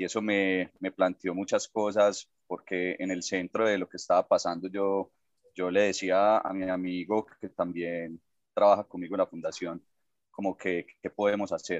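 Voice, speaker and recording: A man's very deep, low voice with an Antioquian accent, fairly slow and monotone, in a dry, close sound with no echo. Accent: Colombian paisa Spanish. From Colombia, Medellín (paisa). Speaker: social entrepreneur. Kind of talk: interview. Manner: hesitant, with fillers and repetitions.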